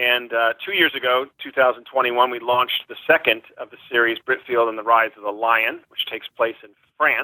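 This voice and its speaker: A man with an American accent talks at a moderate pace and a medium pitch with hardly any pauses. His intonation is fairly even, though his loudness swings widely. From California. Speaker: children's author. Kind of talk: interview.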